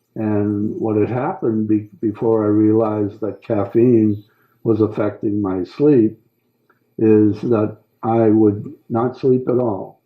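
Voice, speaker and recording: Speaking at a very slow pace, a man uses fairly low pitch and fairly even intonation. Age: 70s. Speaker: war veteran. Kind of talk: interview. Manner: halting.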